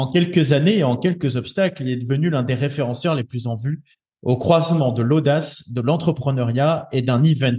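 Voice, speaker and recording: Somewhat breathy, a man speaks at a fairly high pitch with a dark, mellow tone and ordinary pitch variation. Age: 30s. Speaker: podcast host. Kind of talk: scripted introduction; interview.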